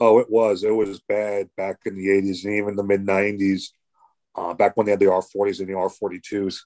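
Speaking in a New York accent, a man keeps a monotone, flat intonation at a fairly low pitch and moderate pace. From New York City, Brooklyn. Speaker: former paramedic, subway supervisor. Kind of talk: casual interview.

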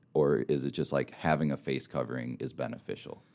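A man with an American accent, very deep and low in pitch, with vocal fry and a fairly quick pace. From Minnesota. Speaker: podcast host. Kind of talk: casual interview.

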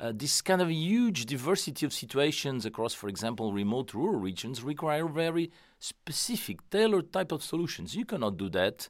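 On a very clean recording with a silent background, a man with a Portuguese accent speaks at a fairly quick pace with very wide pitch swings. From Portugal. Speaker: economist at an international organisation. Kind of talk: interview. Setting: studio. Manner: halting, many fillers.

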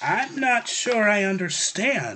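A man's put-on character voice, pitched high. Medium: read story. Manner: timid, unsure.

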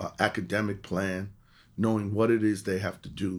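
A man speaks with a New York accent in a fairly low pitch. His intonation stays fairly even. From New York City, the Bronx. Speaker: college counselor. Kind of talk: interview.

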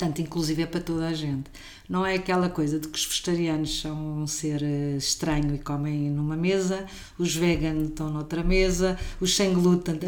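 A woman with a normal speaking voice talks at a moderate pace and fairly low pitch, her intonation fairly even. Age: 50s. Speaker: caterer and cook. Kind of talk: casual interview.

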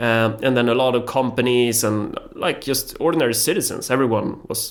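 A medium-pitched man with a Swedish accent speaks over noticeable background noise. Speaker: politician. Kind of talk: casual interview chat. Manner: hesitant, repeats words while searching for English.

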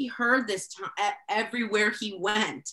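There is noticeable background noise behind this woman. Her pitch moves in an ordinary way. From El Salvador. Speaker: education department official and parent. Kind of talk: casual chat.

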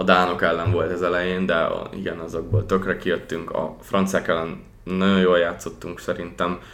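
In a very deep, low voice, a man speaks at a moderate pace with monotone, flat intonation and hardly any pauses, with audible room echo around him. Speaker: hockey podcast host. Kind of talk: casual chat.

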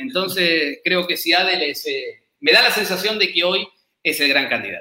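Using an Argentine accent, a man talks at a moderate pace in a high pitch with ordinary pitch variation. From Argentina. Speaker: football analyst. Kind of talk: casual chat.

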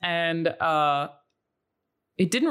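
An Australian accent comes through. The recording is very clean and the background silent. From Australia, Brisbane. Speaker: content creator. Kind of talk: casual chat.

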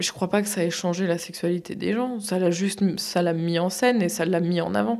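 Noticeable background noise behind a woman at medium pitch, moderate pace with hardly any pauses and ordinary pitch variation. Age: 30s. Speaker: cam model. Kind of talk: interview.

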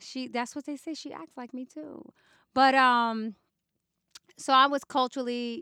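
A woman with a New York accent uses a raised, projected voice with a bright, sharp tone and a high pitch. She talks at a fairly slow pace, with long, frequent pauses and big swings in loudness. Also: dry, close sound with no echo. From New York City, the Bronx. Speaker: hip hop journalist and magazine editor. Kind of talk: interview conversation.

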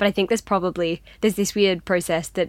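A woman with an Australian accent, fairly low in pitch with fairly even intonation, at a fairly quick pace on a very clean recording with a silent background. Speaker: fiction writer. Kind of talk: interview. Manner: hesitant, lots of fillers.

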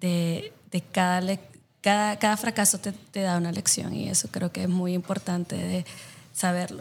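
A woman speaks in a flat monotone at a fairly low pitch and a moderate pace, in a very clean recording with a silent background. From El Salvador. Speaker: social impact consultant. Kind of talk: interview. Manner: halting, with many fillers.

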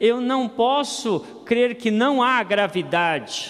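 An extremely high-pitched man's voice at a very slow pace, over noticeable background noise. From Campo Grande, Brazil. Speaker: pastor. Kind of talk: sermon.

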